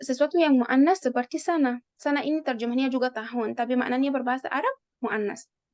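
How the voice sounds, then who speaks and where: A woman speaks with a high pitch, ordinary pitch variation and a non-native accent, recorded in a dry, close sound with no echo. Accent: non-native Indonesian. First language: Arabic (speaking Indonesian). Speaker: Arabic teacher. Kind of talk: online language lesson.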